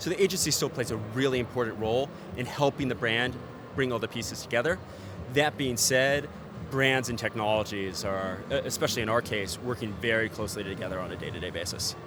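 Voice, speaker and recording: With an American accent, a man speaks at a very fast pace over noticeable background noise. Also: medium pitch for a man, ordinary pitch variation. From United States. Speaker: ad tech executive. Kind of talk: trade show interview. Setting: event TV studio.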